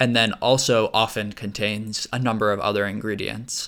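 In a very clean recording with a silent background, a man talks at a medium pitch in a bright, sharp tone. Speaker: podcast host. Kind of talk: casual podcast discussion.

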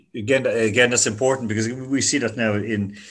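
In an Irish accent, the speaker moves at a fairly quick pace with fairly even intonation against a quiet background. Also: man. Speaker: podcast host. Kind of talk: interview. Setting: remote interview.

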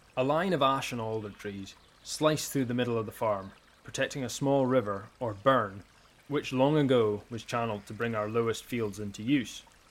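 A man speaks in a Scottish Highland accent at a moderate pace. His medium pitch shows ordinary variation against noticeable background noise. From Scottish Highlands, Easter Ross. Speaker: farmer and podcast narrator. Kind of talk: scripted narration.

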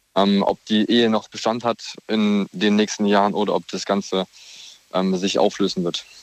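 A man's fairly low-pitched voice at a fairly slow pace, in a dry, close sound with no echo. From Heidelberg, Baden-Württemberg. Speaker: radio caller. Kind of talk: phone-in discussion.

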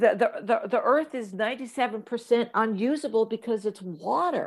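In a normal speaking voice with an American accent, the speech moves at a moderate pace with ordinary pitch variation. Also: woman. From US Midwest, Kansas. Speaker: actress and comedian. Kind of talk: interview.

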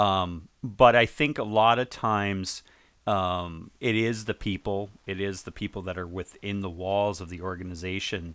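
In a very clean recording with a silent background, a man with an American accent and an ordinary speaking voice talks at a fairly slow pace, his fairly low pitch held in fairly even intonation while his loudness swings widely. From New England (Long Island, New York). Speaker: digital transformation consultant. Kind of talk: casual interview.

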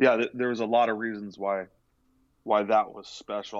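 In an ordinary speaking voice, a man talks at a fairly quick pace with fairly low pitch and fairly even intonation against a quiet background. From California, Central Coast. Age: 40s. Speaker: college baseball pitching coach. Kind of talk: casual interview. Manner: repetitive filler-heavy.

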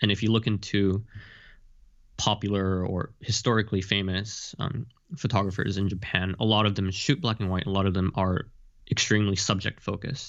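A man speaks in a normal speaking voice at a fairly low pitch. His pace is fairly quick and his intonation fairly even. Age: 20s. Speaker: photographer and fashion model. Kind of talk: interview.

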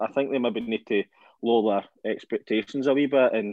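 A man in a Scottish accent with fairly even intonation. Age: 20s. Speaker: football podcast co-host. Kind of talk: casual chat.

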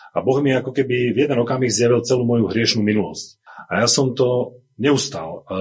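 A man at medium pitch with an unremarkable speaking voice, fairly quick pace, ordinary pitch variation and very even loudness. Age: 40s. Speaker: church member giving testimony. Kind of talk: testimony.

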